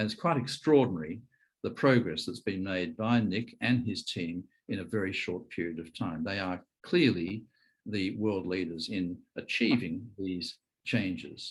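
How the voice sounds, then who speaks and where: On a very clean recording with a silent background, a man talks in a fairly low pitch with ordinary pitch variation. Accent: Australian. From Australia. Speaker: conference chair, physician. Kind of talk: speaker introduction.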